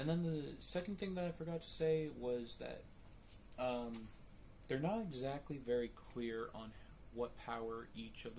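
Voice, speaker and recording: A man speaks quietly and fairly slowly, with audible room echo. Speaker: vlogger reviewing movies. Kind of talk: casual vlog commentary. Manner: quiet, lowered voice.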